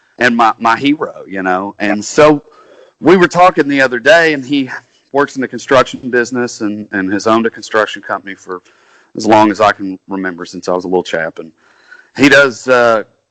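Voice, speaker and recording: A man in a Kentucky accent, fairly quick in pace and lively in intonation. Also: medium pitch for a man. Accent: Southern US (Kentucky). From Kentucky, US South. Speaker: country singer-songwriter. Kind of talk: casual interview chat.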